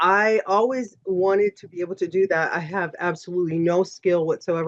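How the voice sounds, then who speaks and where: An ordinary speaking voice from a woman, fairly low in pitch with fairly even intonation, at a fairly quick pace over a quiet background. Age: 50s. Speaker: aesthetic nurse injector. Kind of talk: podcast interview.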